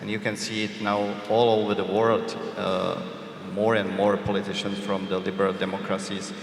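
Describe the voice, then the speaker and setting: A man's fairly low voice, monotone and flat, at a moderate pace with audible room echo and noticeable background noise. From Czech Republic. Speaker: journalist. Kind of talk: panel discussion. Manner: hesitant, many fillers.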